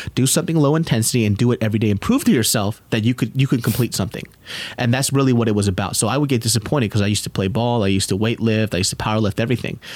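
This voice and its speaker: A man with an American accent talks very fast at a very even loudness. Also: medium pitch for a man, ordinary pitch variation. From US West Coast, Sacramento. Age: 30s. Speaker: comedian and YouTuber. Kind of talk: casual chat. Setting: studio.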